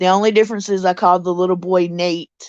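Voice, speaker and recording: A woman speaks at a moderate pace in a Mississippi accent, her medium pitch held to fairly even intonation against a quiet background. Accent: Mississippi Southern US. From US South, Mississippi. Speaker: live streamer and story narrator. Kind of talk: casual live stream chat. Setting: live stream from home with pets.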